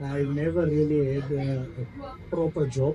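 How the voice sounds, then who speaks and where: Over noticeable background noise, a man speaks in a fairly high pitch. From South Africa, Mahikeng. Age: 30s. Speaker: car enthusiast. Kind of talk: casual interview. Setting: bar and grill venue.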